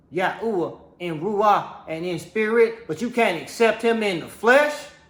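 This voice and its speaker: With audible room echo around him, a man talks at a fairly slow pace in a high pitch, his tone animated and his intonation lively. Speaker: religious teacher. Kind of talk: sermon.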